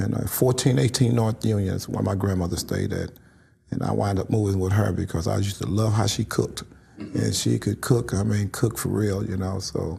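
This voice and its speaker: A man with an American accent and a plain, everyday voice speaks at a fairly quick pace in a fairly low pitch, with ordinary pitch variation. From St. Louis, Missouri. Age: 60s. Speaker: community activist. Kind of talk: interview.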